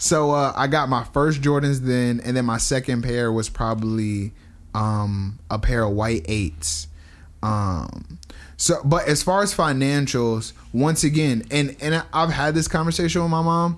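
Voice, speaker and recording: A man with an American accent speaks at a fairly slow pace, his medium-pitched voice carrying lively intonation. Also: very even loudness. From US Northeast, New Jersey. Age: 20s. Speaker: podcast guest. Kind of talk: casual chat.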